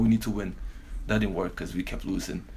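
A man's voice, fairly low in pitch. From Belgium. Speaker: professional basketball player. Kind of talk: casual interview.

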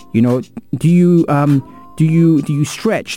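With music in the background, a man speaks at a moderate pace in an animated tone. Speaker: radio sports show host. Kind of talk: upbeat radio DJ patter with shout-outs and show plugs. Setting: radio studio. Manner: animated, hype-man energy, stumbling over his own show name; laid-back and chatty, laughing between links.

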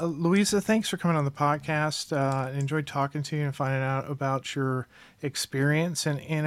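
An unremarkable speaking voice moves at a moderate pace with fairly even intonation over a very clean recording with a silent background. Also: man. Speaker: podcast host. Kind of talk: interview.

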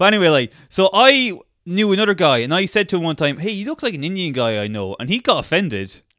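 Here a man speaks with a high pitch at a very fast pace. His pitch swings very widely. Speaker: podcast co-host. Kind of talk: casual comedic chat about true crime. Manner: joking, irreverent.

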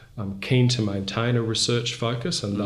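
A man talks at a fairly quick pace with fairly even intonation. Noticeable background noise and room echo can be heard. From Brisbane, Australia. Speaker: charity chief executive. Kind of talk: interview.

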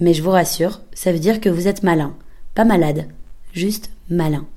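Her tone is dark and mellow, and this woman's pitch is fairly low with ordinary variation. She speaks at a moderate pace amid audible room echo. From Belgium. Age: 20s. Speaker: podcaster. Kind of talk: scripted narration.

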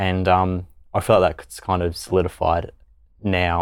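The recording is very clean, with a silent background. A man talks with a very deep, low pitch. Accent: Australian. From Australia. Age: 20s. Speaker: law student and youth ambassador. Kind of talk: casual chat.

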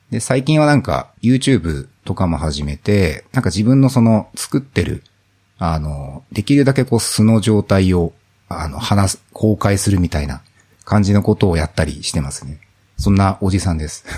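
This man's fairly low voice moves through very wide pitch swings at a moderate pace. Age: 40s. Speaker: office worker and indie app developer. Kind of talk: casual chat.

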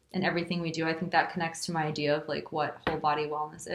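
In a Californian accent, a woman speaks at a fairly low pitch with monotone, flat intonation. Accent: Californian American English. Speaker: yoga teacher. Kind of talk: casual interview chat.

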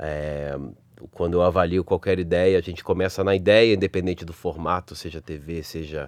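Speaking at a moderate pace with a Rio de Janeiro accent, a man has a very deep, low pitch. The background stays quiet. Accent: carioca. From Rio de Janeiro, Brazil. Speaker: advertising creative director. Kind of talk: interview.

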